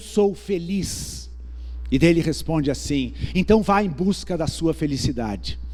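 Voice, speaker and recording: A man talks at a moderate speed, and room echo is audible around him. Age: 60s. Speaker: pastor. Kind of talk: sermon. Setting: church. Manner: conversational.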